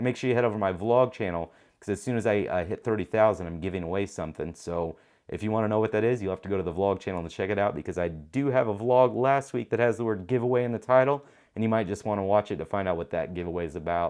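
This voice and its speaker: Against a quiet background, a man with a fairly low pitch talks at a very fast pace, his tone animated and his intonation lively. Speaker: tech YouTuber and show host. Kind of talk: casual show outro to camera.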